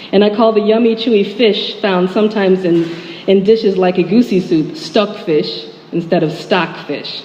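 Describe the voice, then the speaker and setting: A woman's voice with ordinary pitch variation amid noticeable background noise. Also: medium pitch for a woman, moderate pace. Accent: American. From US Midwest, Chicago suburb. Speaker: writer. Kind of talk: speech.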